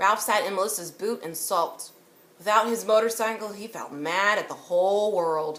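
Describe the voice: The plain reading aloud shows ordinary pitch variation.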